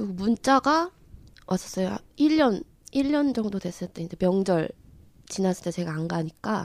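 On a very clean recording with a silent background, a woman at medium pitch speaks at a fairly slow pace with lively intonation. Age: 30s. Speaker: counseling program guest. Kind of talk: casual conversation.

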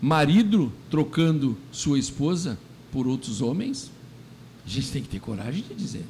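This man's voice has a dark, mellow tone and is somewhat breathy. He talks at a fairly slow pace with lively intonation. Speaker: radio host. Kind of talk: radio commentary monologue.

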